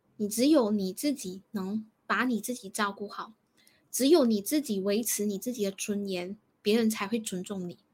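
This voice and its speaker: A woman's somewhat breathy voice at a moderate pace and medium pitch, in a very clean recording with a silent background. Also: ordinary pitch variation. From Malaysia. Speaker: counsellor. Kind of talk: advice discussion.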